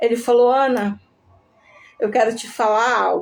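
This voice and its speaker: A breathy woman's voice, fairly high in pitch with ordinary variation, at a fairly slow pace. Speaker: testimony speaker, ICU survivor. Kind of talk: testimony. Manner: emotional.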